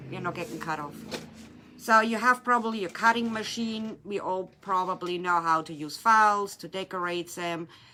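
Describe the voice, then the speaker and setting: A woman's medium-pitched voice with a German accent, bright and sharp in tone, with big swings in loudness. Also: ordinary pitch variation, moderate pace. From Germany. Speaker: resin artist and craft shop owner. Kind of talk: tutorial. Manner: casual, slightly halting.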